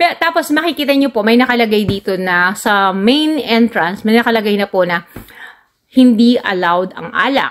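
With lively intonation, a woman speaks at a moderate pace in a fairly high pitch over a quiet background. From Philippines. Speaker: travel vlogger. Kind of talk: vlog narration. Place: farm machine. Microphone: phone near.

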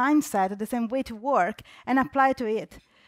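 A high-pitched woman at a moderate pace, against a quiet background with dry sound and no echo. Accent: Italian. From Italy. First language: Italian. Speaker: UX designer. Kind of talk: conference talk. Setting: stage with audience. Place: hall.

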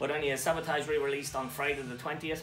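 A man rushes through his words at a very fast pace while music plays in the background. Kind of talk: casual vlog chat. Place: home room.

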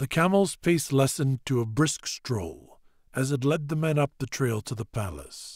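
Plain reading aloud. Ordinary pitch variation.

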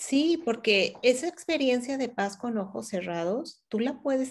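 With a Mexican accent, a woman speaks at a fairly slow pace and with lively intonation. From León, Guanajuato, Mexico; Guanajuato, Mexico. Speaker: meditation teacher; meditation teacher being interviewed. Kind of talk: interview. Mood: calm, warm, reflective. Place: home room. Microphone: video call.

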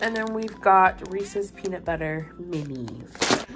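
Music plays in the background while the speaker goes at a very slow pace. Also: woman. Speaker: vlogger. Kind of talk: casual vlog chat. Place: home room. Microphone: phone near.

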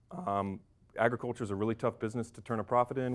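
This man has an American accent and fairly even intonation. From North Carolina. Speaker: MBA student; speaker. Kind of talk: speech to audience. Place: hall. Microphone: lapel.

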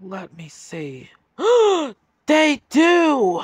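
A man puts on a high-pitched character voice with very wide pitch swings. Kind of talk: audio drama dialogue.

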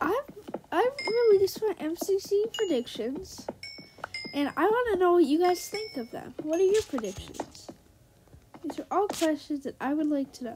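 With noticeable background noise, a woman speaks at an extremely high pitch, her voice moving through very wide pitch swings and broken by long, frequent pauses. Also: moderate pace. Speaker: gaming youtuber. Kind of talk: gameplay commentary. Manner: animated.

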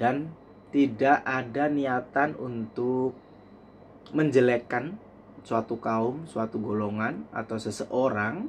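A man speaks at a very slow pace with ordinary pitch variation, over light background noise. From East Java, Indonesia (Blitar); East Java, Indonesia. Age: 30s. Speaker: vlogger. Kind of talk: personal vlog monologue. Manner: halting, with frequent fillers. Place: home room. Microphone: phone near.

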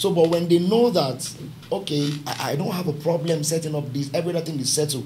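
A man with a Nigerian accent talks at a very fast pace with ordinary pitch variation. Light background noise can be heard. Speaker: pastor and business founder; pastor. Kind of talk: panel discussion. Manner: halting. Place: studio.

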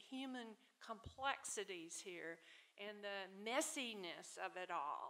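A woman talks at a very slow pace in a Southern US accent. Her tone is bright and sharp, with lively intonation. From US South, Tupelo, Mississippi; Mississippi. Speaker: author and literary scholar; panelist. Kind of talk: panel discussion. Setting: stage with audience. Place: hall. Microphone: podium.

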